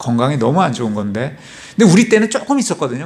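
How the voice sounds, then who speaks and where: His pitch swings very widely. The man speaks at a very fast pace. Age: 60s. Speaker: church deacon giving testimony. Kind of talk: testimony.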